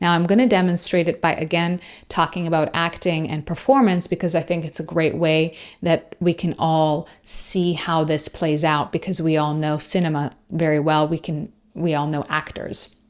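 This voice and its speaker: Very clean recording, silent background, a woman at a fairly low pitch, moderate pace and fairly even intonation. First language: Persian. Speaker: podcast host and coach. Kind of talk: solo podcast talk.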